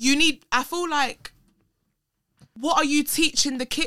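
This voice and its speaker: A woman uses a raised, projected voice, high in pitch and bright and sharp in tone. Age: 20s. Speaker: social media personality and performer. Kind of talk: casual chat. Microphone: camera mic instead of studio mic near the end.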